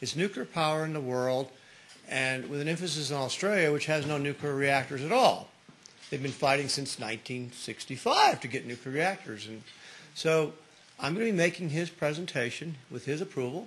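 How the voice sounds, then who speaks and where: A man speaks at a moderate pace with fairly high pitch and ordinary pitch variation. Noticeable background noise runs underneath. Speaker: nuclear physicist, meeting attendee. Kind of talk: announcement at a meeting. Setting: meeting room with recording microphone. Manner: loud.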